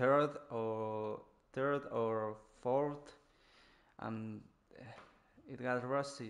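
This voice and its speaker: In a Spanish accent, a man talks at a medium pitch with monotone, flat intonation. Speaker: gaming streamer. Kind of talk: live gameplay commentary. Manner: halting, many restarts.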